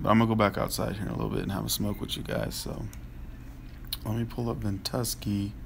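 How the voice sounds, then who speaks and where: A man speaks quietly at a very fast pace, with long, frequent pauses. There is audible room echo. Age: 30s. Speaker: livestream host. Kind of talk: casual live chat. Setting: home livestream at night.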